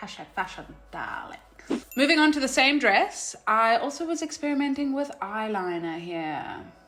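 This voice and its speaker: Bright and sharp in tone, a woman's high voice moves at a moderate pace with very wide pitch swings and big swings in loudness. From South Africa. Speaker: vlogger. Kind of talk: casual vlog commentary. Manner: animated.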